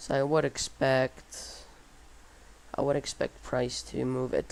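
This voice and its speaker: The speaker is a man with a non-native accent. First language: not English. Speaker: day trader streamer. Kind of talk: live trading commentary. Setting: livestream. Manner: halting.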